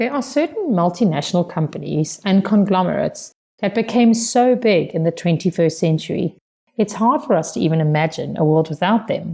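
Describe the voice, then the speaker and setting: The speaker talks at a fairly quick pace with a South African accent and lively intonation. The voice is somewhat breathy, with a dark, mellow tone. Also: woman, medium pitch for a woman. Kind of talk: prepared speech for interpreting practice.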